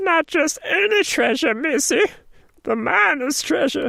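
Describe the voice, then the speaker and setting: A woman's put-on character voice, high and strained, with very wide pitch swings at a fairly slow pace. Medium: read story. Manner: chatty, rambling.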